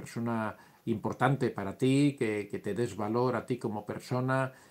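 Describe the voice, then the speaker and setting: A man talks in a normal speaking voice. His pitch is medium with ordinary variation. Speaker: psychology youtuber. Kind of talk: live stream talk answering chat questions. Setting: live stream.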